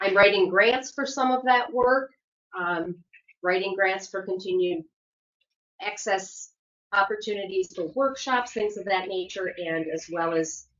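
A woman speaks at a fairly slow pace with a medium pitch and ordinary pitch variation. Long, frequent pauses break up her speech. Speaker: community program presenter. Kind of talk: report at public meeting. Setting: county commission meeting.

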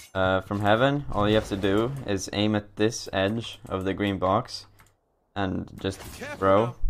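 Over light background noise, a man speaks in an unremarkable speaking voice, fairly low in pitch with fairly even intonation. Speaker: game streamer. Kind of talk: tutorial.

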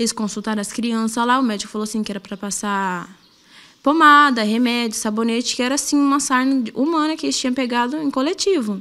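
Bright and sharp in tone, a woman speaks in a high pitch at a fairly quick pace with ordinary pitch variation. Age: 20s. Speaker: assault victim. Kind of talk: testimony. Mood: fearful, distressed. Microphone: handheld.

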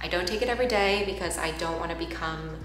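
A woman at a very fast pace, with audible room echo and light background noise. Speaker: vlogger. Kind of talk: casual vlog chat. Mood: reflective, personal, earnest.

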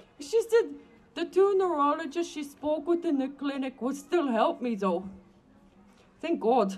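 Speaking at a fairly slow pace, a woman with a high pitch makes very wide pitch swings and takes long, frequent pauses. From Alberta, Canada. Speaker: rally speaker. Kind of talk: public speech. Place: street. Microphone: handheld.

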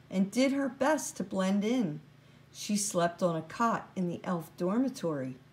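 It is plain reading aloud. The intonation rises and falls in a lively way.

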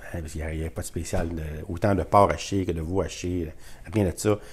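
A man with a Quebec accent, very deep and low in pitch, somewhat breathy, with ordinary pitch variation. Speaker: YouTuber sharing grocery deals. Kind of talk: casual vlog talk to camera. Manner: animated.

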